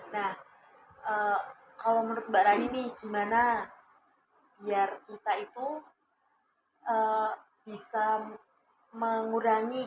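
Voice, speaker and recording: Long, frequent pauses break up a woman's speech. Her pitch is fairly high and her intonation monotone and flat. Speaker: counseling student acting as counselor. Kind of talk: counseling session role-play. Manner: warm, encouraging.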